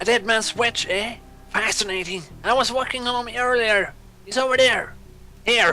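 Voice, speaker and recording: A put-on character voice at a fairly high pitch moves along at a moderate pace. Clear music plays in the background. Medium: machinima. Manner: chatty, good-humored.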